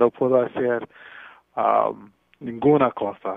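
At a very slow pace, a man speaks at medium pitch in a monotone, flat intonation. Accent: English. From Brooklyn, New York. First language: English (speaking Spanish). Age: 40s. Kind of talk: radio interview. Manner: halting.

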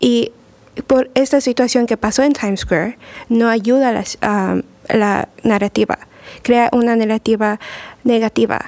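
Her pitch is fairly high and her intonation fairly even as this woman talks fairly slowly. Long, frequent pauses break the dry, close sound, which has no echo. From Mexico (Puebla). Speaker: immigration lawyer. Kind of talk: radio talk show. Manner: halting.

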